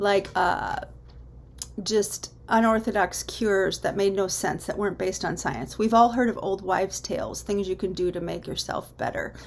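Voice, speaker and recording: A woman's unremarkable speaking voice, medium in pitch, with ordinary pitch variation and a moderate pace. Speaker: teacher. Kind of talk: lecture.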